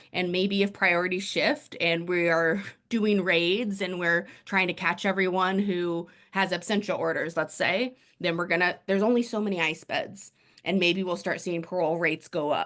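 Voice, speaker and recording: A woman speaks at medium pitch and a moderate pace. Her intonation is fairly even, and the background is quiet. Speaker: immigration lawyer. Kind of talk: panel discussion. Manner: casual, sarcastic.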